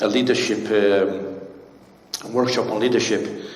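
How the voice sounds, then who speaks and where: A man speaks in a medium pitch with fairly even intonation. The recording carries noticeable background noise and audible room echo. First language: not English. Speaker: pastor. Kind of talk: sermon. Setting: church. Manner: halting, many fillers.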